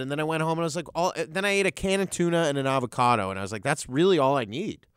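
A man with a Canadian accent talks at a very fast pace on a very clean recording with a silent background. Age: 30s. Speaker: comedian. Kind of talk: casual chat. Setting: studio.

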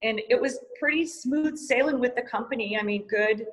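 In a plain, everyday voice, a woman with an American accent speaks at a moderate pace, her fairly high pitch moving with lively intonation. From Montana, US. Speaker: yoga teacher and studio owner. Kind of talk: interview.

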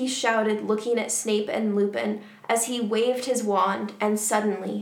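An unforced reading voice, intonation fairly even

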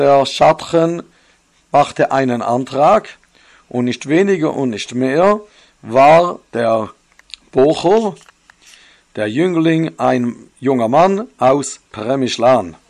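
A man with a fairly high pitch and lively intonation talks at a very slow pace, leaving long, frequent pauses. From Switzerland. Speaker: religious storyteller. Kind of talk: storytelling. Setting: home recording.

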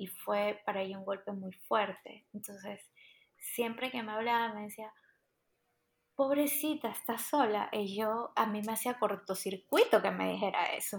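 A woman with a normal speaking voice talks fairly slowly at a fairly high pitch, her intonation fairly even but her loudness swinging widely, in a very clean recording with a silent background. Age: 30s. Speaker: immigrant and migration coach. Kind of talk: casual chat.

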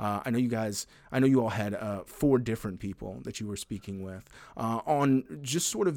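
A man with an ordinary speaking voice talks at a fairly quick pace, using a medium pitch and ordinary pitch variation. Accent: American. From US South. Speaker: podcast host. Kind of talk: interview conversation.

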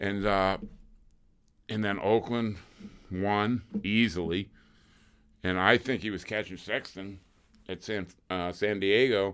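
On a very clean recording with a silent background, a man with a fairly low pitch speaks with fairly even intonation, big swings in loudness, and long, frequent pauses. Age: 60s. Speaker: former motocross racer. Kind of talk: casual chat.

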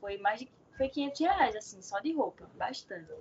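Her pace is moderate as the woman speaks. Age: 20s. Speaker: seamstress and small clothing shop owner. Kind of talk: casual interview. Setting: online call. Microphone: unstable connection.

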